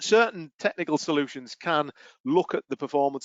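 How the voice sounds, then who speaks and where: A man with a British accent. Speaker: IT consultant presenter. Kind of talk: webinar presentation. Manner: fast.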